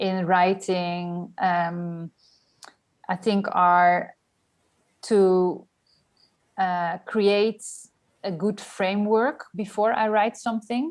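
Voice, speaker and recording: This woman's voice sits at a medium pitch, with fairly even intonation. She talks at a very slow pace. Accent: Dutch. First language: Dutch. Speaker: journalist and writer. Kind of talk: casual interview. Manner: hesitant, many fillers.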